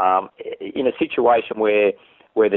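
A man with an Australian accent. He speaks at a fairly quick pace. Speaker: fishing TV host. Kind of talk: interview. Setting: office. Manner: animated.

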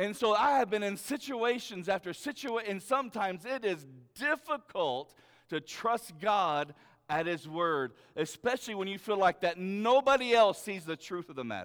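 A loud, animated man with a high pitch, lively intonation and a moderate pace. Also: very clean recording, silent background. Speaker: pastor. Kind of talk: sermon. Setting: church. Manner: casual, halting.

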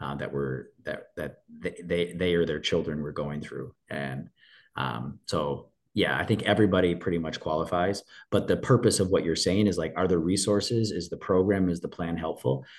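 Against a quiet background, a man with a very deep, low voice and vocal fry talks at a moderate pace with ordinary pitch variation. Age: 40s. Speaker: divorced father sharing his story. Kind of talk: personal testimony in interview. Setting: podcast recording.

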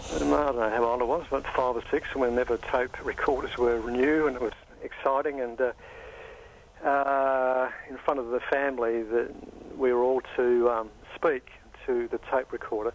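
A man speaks with an Australian accent at a moderate pace. His intonation is monotone and flat. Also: medium pitch for a man. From Australia, Adelaide. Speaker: dentist and stuttering advocate. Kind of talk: interview. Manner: fluent.

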